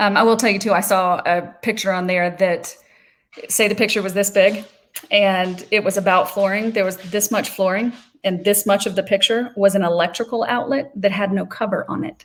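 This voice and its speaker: A woman's medium-pitched voice holds a fairly even intonation throughout. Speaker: social media trainer. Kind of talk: webinar presentation. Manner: fast.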